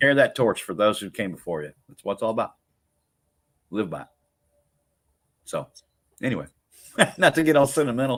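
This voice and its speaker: With a medium pitch and vocal fry, a man talks at a fairly quick pace, using very wide pitch swings, big swings in loudness, and long, frequent pauses. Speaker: podcast host. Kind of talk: casual chat. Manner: rambling, repetitive.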